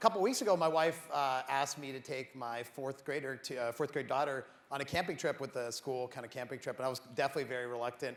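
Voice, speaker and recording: The man's delivery moves at a fairly quick clip. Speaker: tech CEO. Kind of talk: conference keynote. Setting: stage with audience. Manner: fast.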